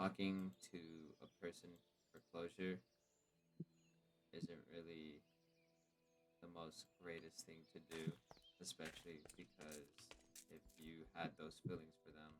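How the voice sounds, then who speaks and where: A man talks at a fairly slow pace in a very deep, low pitch, with long, frequent pauses and flat, monotone intonation. His loudness swings widely over music in the background. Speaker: vlogger. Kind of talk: personal monologue. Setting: at home on a voice call. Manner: soft-spoken.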